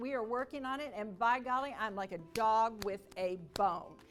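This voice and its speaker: Energetic and upbeat in tone, a woman speaks with ordinary pitch variation. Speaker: sales speaker. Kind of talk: motivational speech / keynote to an audience. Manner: energetic, dynamic, upbeat.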